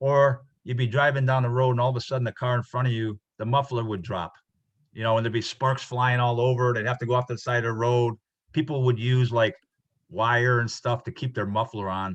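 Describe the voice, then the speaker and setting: A somewhat breathy man at medium pitch, fairly quick pace and fairly even intonation. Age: 60s. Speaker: instructor. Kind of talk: lecture. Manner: halting.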